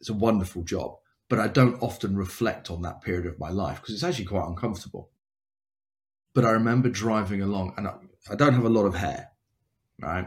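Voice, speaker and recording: Speaking at a very fast pace, a man with a fairly low pitch sounds somewhat breathy. His pitch varies in an ordinary way, broken by long, frequent pauses. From England, near London. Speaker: cancer survivor and motivational speaker. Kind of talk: casual interview, personal storytelling. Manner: talkative, hesitant with repeated words.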